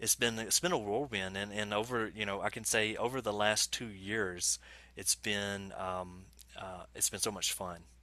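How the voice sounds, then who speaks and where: A man with an Alabama accent speaks at a moderate pace with fairly even intonation and a bright, sharp tone, in a dry sound with no echo. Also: fairly low pitch for a man. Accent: Southern US (Alabama). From Alabama, US South. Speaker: software developer evangelist; guest. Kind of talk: casual interview chat. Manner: halting, many fillers and repeats. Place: home room.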